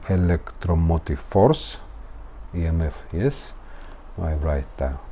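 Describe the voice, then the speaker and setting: A man's very deep, low voice with a Russian accent, very slow pace and lively intonation. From Latvia. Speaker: engineer teaching physics. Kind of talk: tutorial. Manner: halting.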